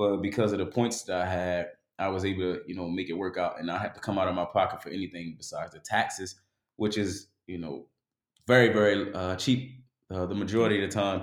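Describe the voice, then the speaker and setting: In a very clean recording with a silent background, a man with an American accent and a very deep, low pitch speaks at a fairly quick pace, his intonation fairly even but his loudness swinging widely. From West Baltimore, US. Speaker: travel blogger. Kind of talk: casual chat.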